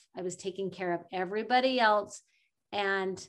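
Against a quiet background, a woman speaks in a normal speaking voice at a moderate pace, with medium pitch and fairly even intonation. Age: 40s. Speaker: life coach and podcaster. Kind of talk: interview conversation.

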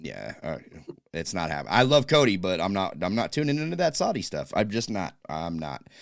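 In a very clean recording with a silent background, a man speaks at a fairly quick pace with vocal fry and very wide pitch swings. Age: 30s. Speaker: wrestling podcast host. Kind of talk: casual chat.

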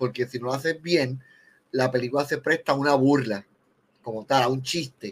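In a Puerto Rican accent, a man speaks at a medium pitch. His pace is moderate and his intonation fairly even. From Puerto Rico. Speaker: film director. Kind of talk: casual chat.

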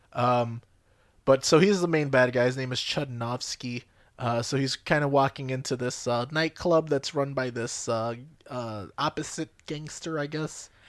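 On a very clean recording with a silent background, a man with an ordinary speaking voice talks at a fairly slow pace and medium pitch, with fairly even intonation. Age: 20s. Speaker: podcast co-host. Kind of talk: casual chat.

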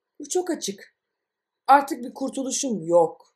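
At a very slow pace, a woman talks with very wide pitch swings and vocal fry. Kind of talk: audiobook reading of absurdist short stories.

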